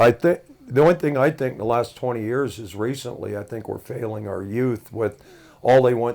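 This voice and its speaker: Here a man with an American accent speaks in a plain, everyday voice at a moderate pace, with ordinary pitch variation. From Washington state, Brewster. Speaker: sports announcer and auto shop owner. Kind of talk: casual chat.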